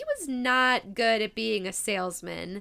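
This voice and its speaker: A woman's fairly high voice in a Midwestern US accent, animated and bright with a sharp tone and lively intonation. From US Midwest. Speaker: podcast host. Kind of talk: casual chat, interview. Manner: animated, excitable.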